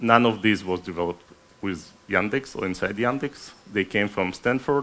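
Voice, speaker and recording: A man's fairly low pitch with ordinary pitch variation. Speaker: AI researcher giving conference talk. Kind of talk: technical conference talk. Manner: fast; halting, with many fillers.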